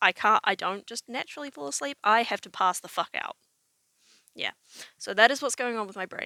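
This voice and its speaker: A woman with a New Zealand accent talks at a fairly quick pace, with long, frequent pauses and big swings in loudness. The sound is dry and close, with no echo. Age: 20s. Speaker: vlogger. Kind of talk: personal vlog monologue. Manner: casual, with many fillers.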